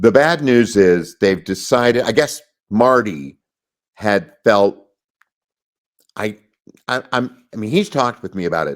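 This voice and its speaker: On a very clean recording with a silent background, a man at medium pitch makes very wide pitch swings and big swings in loudness, with long, frequent pauses. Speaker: voice actor. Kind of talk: interview answer. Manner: conversational, storytelling.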